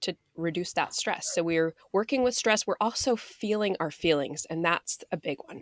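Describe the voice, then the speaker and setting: A woman at a medium pitch with hardly any pauses, in a dry, close sound with no echo. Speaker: mindfulness and weight coach. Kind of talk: casual chat. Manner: deliberately slowed speech.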